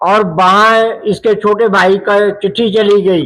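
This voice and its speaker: A man speaks in a high, bright, sharp voice with monotone, flat intonation. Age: 70s. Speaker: villager interviewed. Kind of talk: interview.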